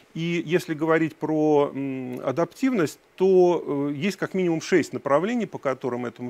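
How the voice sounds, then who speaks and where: This man's voice sits at a fairly high pitch. He speaks at a moderate pace with lively intonation. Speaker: education data researcher; speaker. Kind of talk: conference talk. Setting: stage with audience. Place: hall.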